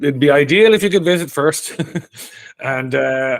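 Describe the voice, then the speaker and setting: Speaking in a Dublin accent, a man moves through very wide pitch swings. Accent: Dublin Irish. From Ireland, Dublin. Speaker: Irish emigrant interviewee. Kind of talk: casual interview. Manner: conversational, some repetitions and hesitations.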